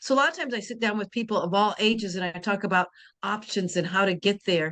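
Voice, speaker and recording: Against a quiet background, a woman speaks at medium pitch. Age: 60s. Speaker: insurance and care planning advisor. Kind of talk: interview. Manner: halting.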